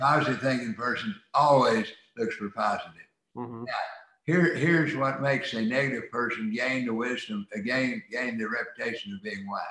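Here an unremarkable speaking voice belongs to a man with an American accent, who uses a medium pitch, a moderate pace and lively intonation. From rural US. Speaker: attorney and author. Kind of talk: interview.

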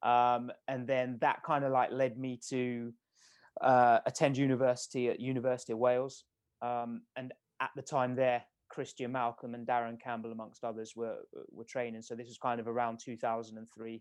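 In a British accent, the speaker goes at a moderate pace with monotone, flat intonation and big swings in loudness. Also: man, medium pitch for a man. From England, Milton Keynes. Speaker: sprint coach. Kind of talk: podcast interview.

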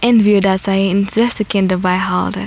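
A woman speaks at a fairly slow pace. Her medium pitch stays in a monotone, flat intonation. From Eritrea. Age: 20s. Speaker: refugee and theatre student. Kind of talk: interview testimony.

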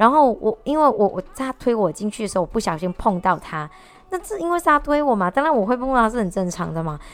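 Very wide pitch swings mark a woman's speech at a very fast pace. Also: fairly high pitch for a woman. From Malaysia. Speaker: vlogger. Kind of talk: casual monologue. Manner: halting.

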